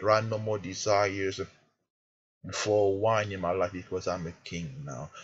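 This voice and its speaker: A man talks at a moderate pace with a fairly low, somewhat breathy voice and ordinary pitch variation. The background is quiet. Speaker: prayer minister. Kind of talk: fervent prayer. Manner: emphatic, commanding; earnest, urgent.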